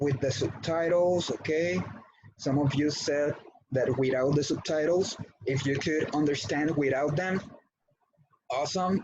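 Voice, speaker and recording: A man with a Spanish accent and fairly high pitch, fairly slow with long, frequent pauses, very even loudness and ordinary pitch variation. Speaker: English teacher. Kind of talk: online class. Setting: video call.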